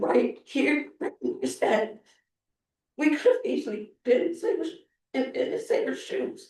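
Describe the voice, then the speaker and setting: Speaking at a fairly slow pace with long, frequent pauses, a man uses an extremely high pitch and very wide pitch swings. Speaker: public commenter at city council meeting. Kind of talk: public comment speech. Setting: city council meeting.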